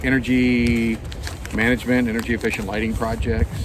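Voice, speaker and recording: Noticeable background noise sits behind this man's voice. He speaks at a fairly quick pace with a medium pitch. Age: 60s. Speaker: retired hiker and video host. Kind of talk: casual chat.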